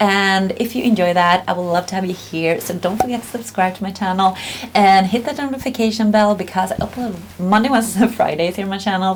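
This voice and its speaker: A woman talks at a medium pitch and a fairly quick pace with lively intonation. Noticeable background noise can be heard. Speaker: beauty vlogger. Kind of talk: casual review vlog. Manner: casual, with many fillers and hesitations.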